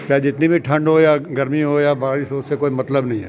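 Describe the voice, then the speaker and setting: A fairly high-pitched man with fairly even intonation, noticeable background noise behind him. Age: 70s. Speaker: weightlifting athlete. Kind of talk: interview.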